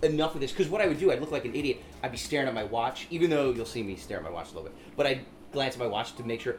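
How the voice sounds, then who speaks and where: Talking very fast, a man uses lively intonation at a fairly high pitch. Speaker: stand-up comedian. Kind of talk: casual chat. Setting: apartment.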